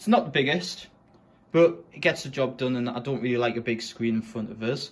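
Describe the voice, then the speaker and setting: A man with a northern English accent talks at a moderate pace. His intonation is lively. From northern England, Sunderland. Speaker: gaming streamer. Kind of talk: room setup tour. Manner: casual.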